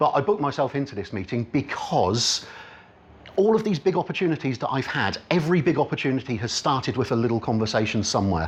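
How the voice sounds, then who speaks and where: Speaking at a very fast pace, a man with an Oxfordshire accent sounds somewhat breathy. His medium pitch moves in very wide swings. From Oxfordshire, England. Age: 40s. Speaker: business networking speaker. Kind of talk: talk to a live audience. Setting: meeting room with audience.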